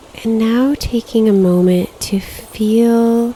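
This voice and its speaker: A woman's medium-pitched voice keeps a fairly level intonation, with noticeable noise in the background. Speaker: meditation guide. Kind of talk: guided meditation. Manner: slow, soft-spoken.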